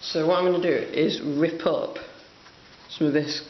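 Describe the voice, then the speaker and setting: Noticeable background noise behind a fairly slow pace of speech. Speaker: hobbyist model painter. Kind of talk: tutorial. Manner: casual, hesitant with fillers.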